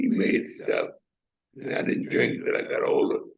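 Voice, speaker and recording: A man with an American accent talks at a moderate pace. Audible room echo surrounds his voice. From US South (Savannah, Georgia). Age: 80s+. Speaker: retired mechanic, panel guest. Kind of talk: casual testimony.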